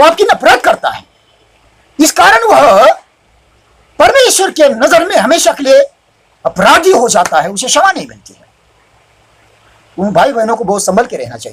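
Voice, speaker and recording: With long, frequent pauses, a man speaks at an extremely high pitch, his voice swinging very widely in pitch and greatly in loudness. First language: Marathi (speaking Hindi). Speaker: preacher. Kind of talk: sermon. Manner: halting, self-correcting.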